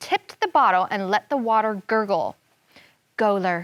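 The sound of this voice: This is an unforced reading voice against a quiet background.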